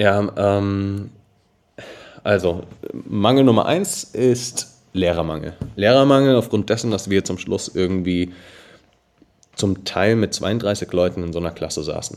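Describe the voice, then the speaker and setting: This man talks at a fairly slow pace in a fairly low pitch, leaving long, frequent pauses. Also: ordinary pitch variation. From Germany, Darmstadt (Hesse). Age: 20s. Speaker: edtech founder. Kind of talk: podcast interview.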